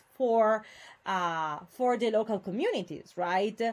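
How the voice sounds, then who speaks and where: Her pitch fairly high, a woman talks at a fairly slow pace. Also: very clean recording, silent background. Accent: Italian. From Italy, Venice area. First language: Italian. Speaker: university lecturer. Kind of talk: lecture. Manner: hesitant, many fillers.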